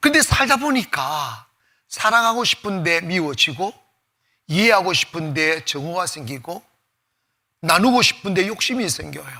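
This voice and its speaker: A man with a Gyeongsang accent, high-pitched with very wide pitch swings, bright and sharp in tone, fairly slow and full of long, frequent pauses. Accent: Gyeongsang dialect, persistent. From Gyeongsang province, South Korea. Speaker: pastor. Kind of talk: sermon. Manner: casual, half informal speech.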